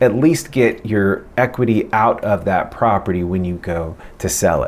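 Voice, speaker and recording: A man with a fairly low voice speaks at a moderate pace with lively intonation. Noticeable background noise is present. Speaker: real estate agent. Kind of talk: casual vlog advice.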